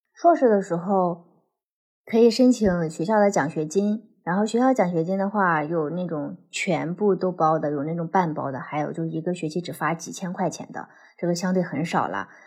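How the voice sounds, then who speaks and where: A woman speaks in a plain, everyday voice at a fairly low pitch, with ordinary pitch variation. She keeps a moderate pace over a quiet background. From China. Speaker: former PhD student in the US. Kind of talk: casual chat.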